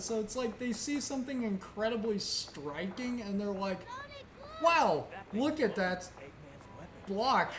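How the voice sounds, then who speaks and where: Amid noticeable background noise and audible room echo, the speaker uses lively intonation at a fairly slow pace with long, frequent pauses. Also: woman. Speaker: gaming streamer. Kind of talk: casual chat. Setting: live stream. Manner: halting.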